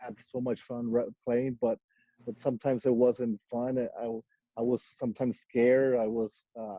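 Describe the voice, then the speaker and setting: A man with a Mexican accent speaks at medium pitch in a dark, mellow tone, with monotone, flat intonation and long, frequent pauses, in a dry, close sound with no echo. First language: Spanish. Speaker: professional racquetball player. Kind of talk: podcast interview. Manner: halting, many fillers and repetitions.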